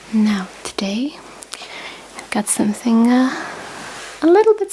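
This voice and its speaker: Whispering and soft-spoken, a woman talks at a very slow pace over noticeable background noise. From Britain. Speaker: ASMR creator. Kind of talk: ASMR unboxing, whispered talk to camera. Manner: whispered, soft-spoken.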